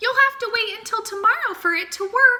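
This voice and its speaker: Using a put-on character voice, a woman talks at a moderate pace in an extremely high, squeaky pitch. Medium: read story.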